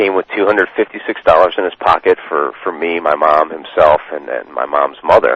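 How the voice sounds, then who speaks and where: With noticeable background noise, a man with an American accent talks at a moderate pace. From Maryland, US. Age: 30s. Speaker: internet marketer. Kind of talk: interview. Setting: phone call. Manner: halting, many repetitions.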